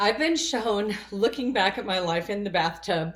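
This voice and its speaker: A woman talks in a normal speaking voice at a moderate pace. Her pitch variation is ordinary. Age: 60s. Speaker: spiritual vlogger. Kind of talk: personal monologue.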